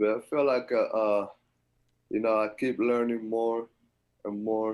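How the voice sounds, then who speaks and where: A man with a strong Dominican accent speaks fairly slowly in a fairly low pitch, his intonation fairly even. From Dominican Republic. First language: Spanish. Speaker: college basketball player. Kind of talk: interview.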